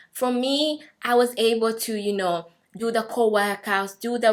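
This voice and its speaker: In an East African accent, a woman speaks at a fairly slow pace with fairly even intonation on a very clean recording with a silent background. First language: Swahili. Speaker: vlogger. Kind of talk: personal testimony.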